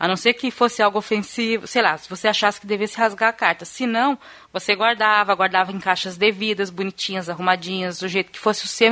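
On a dry, close recording with no echo, a woman speaks at a very fast pace, her medium pitch carrying fairly even intonation. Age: 50s. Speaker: podcast co-host. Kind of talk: casual chat.

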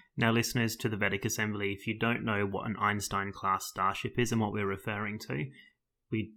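This man's fairly low voice has a bright, sharp tone and fairly even intonation. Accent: British. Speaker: podcast co-host. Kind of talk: casual chat.

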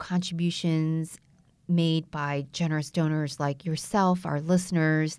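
In a very clean recording with a silent background, a woman speaks in a dark, mellow tone at a fairly low pitch. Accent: American. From United States (came from Vietnam as infant). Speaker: podcast host. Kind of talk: appeal to listeners; casual chat.

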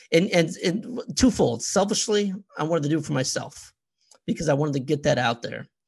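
With a normal speaking voice, a man talks at a fairly quick pace, his fairly high pitch rising and falling in lively intonation. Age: 40s. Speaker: podcast host. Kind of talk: casual chat.

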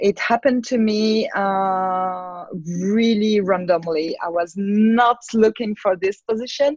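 Her voice sits at a medium pitch with a slightly mellow tone and ordinary pitch variation. The woman speaks slowly, and the sound is dry and close with no echo.

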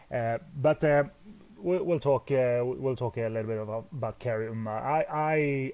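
This unremarkable speaking voice moves at a fairly slow pace with ordinary pitch variation. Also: man, medium pitch for a man. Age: 30s. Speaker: film podcast co-host. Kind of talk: casual chat.

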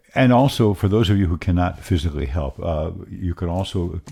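Very deep, low male voice, dark, mellow and somewhat breathy, on a very clean recording with a silent background. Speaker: radio show host. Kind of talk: radio talk show. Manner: rambling.

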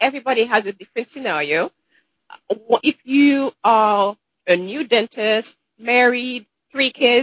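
A woman's fairly high-pitched voice in a Caribbean accent. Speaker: dentist and author. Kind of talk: casual interview chat.

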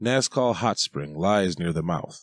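A man with a very deep, low pitch talks with lively intonation. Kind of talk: audiobook narration. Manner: even, measured, steady reading pace.

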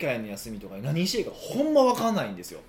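With a slight Osaka accent, a man's voice moves in very wide pitch swings amid audible room echo and noticeable background noise. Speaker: business consultant. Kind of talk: casual chat.

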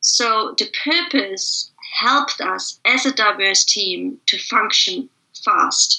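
Speaking with a German accent, a woman talks at a very slow pace. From East Germany. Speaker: facilitator and leadership trainer. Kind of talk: interview.

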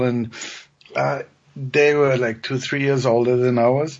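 Using an unremarkable speaking voice, a man talks at a medium pitch and moderate pace with fairly even intonation. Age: 60s. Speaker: music producer and musician. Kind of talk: interview.

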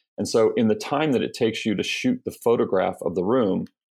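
Silence fills the background of this very clean recording. A man speaks at a fairly quick pace. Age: 50s. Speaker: tech entrepreneur. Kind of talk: casual interview.

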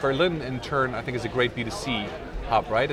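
Male speech with audible room echo and noticeable background noise. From Netherlands, German-born. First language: Dutch/German. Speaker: startup founder and investor. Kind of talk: interview. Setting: outdoors at a tech event. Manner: hesitant, many fillers.

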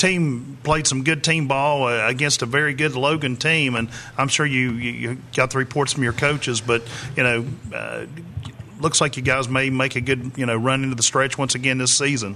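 Against noticeable background noise, a man speaks at a medium pitch with very even loudness and fairly even intonation. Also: moderate pace. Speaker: radio sports co-host. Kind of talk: live radio sports talk, reading score updates. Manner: brisk, rattling off scores.

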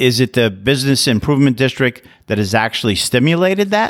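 On a very clean recording with a silent background, a man talks at a very fast pace in a medium pitch. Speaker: podcast host. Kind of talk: interview, scripted intro. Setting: recording in an office.

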